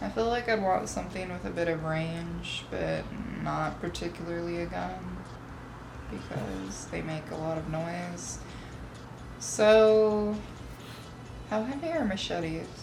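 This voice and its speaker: A woman talks at a fairly slow pace, breaking often with long pauses, while noticeable background noise carries on. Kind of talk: casual talk to camera.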